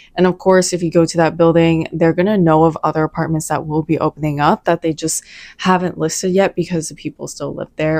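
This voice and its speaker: A woman with an American accent, fairly low in pitch, at a fairly quick pace. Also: dry, close sound with no echo. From US South (Atlanta, Georgia). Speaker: lifestyle vlogger. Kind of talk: casual vlog talk to camera. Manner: animated.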